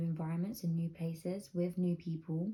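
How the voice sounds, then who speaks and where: Woman at a moderate pace, fairly low in pitch, with a dark, mellow, somewhat breathy tone. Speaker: lifestyle vlogger and manifestation coach. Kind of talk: casual vlog advice monologue. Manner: hushed, soft; casual, filler-heavy.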